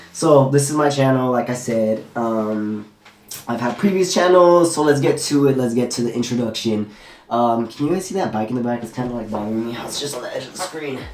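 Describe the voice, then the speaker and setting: The speaker has an American accent and moves at a fairly quick pace. Noticeable background noise runs underneath. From Southern California, Torrance. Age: 20s. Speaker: YouTuber. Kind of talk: casual vlog Q&A. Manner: casual, filler-heavy.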